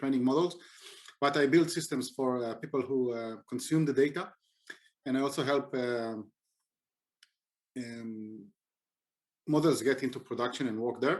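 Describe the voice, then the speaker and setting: A man's medium-pitched voice with a non-native accent, moderate pace, ordinary pitch variation and long, frequent pauses, on a very clean recording with a silent background. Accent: non-native English speaker. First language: not English. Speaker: software engineer and conference speaker. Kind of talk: conference talk. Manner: hesitant, many fillers.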